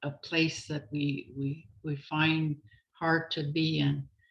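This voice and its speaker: A woman's very deep, low voice with fairly even intonation. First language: Anishinaabemowin (Ojibwe). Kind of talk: prayer. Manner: halting.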